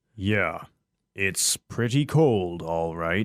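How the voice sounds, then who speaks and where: Over a silent background in a very clean recording, a man performs a put-on character voice pitched fairly low. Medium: audio drama. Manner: terse, unenthusiastic.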